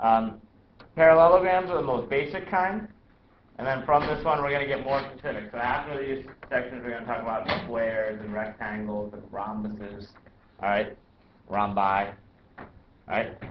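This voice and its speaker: Lively in intonation, a man speaks with long, frequent pauses. Noticeable background noise and audible room echo surround him. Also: medium pitch for a man, moderate pace. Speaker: math teacher. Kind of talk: classroom lecture.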